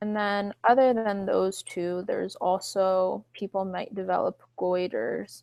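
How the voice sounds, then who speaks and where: The pace is fairly slow. There are hardly any pauses. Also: woman. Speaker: wellness coach hosting online Q&A. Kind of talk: live online Q&A session. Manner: slow while typing.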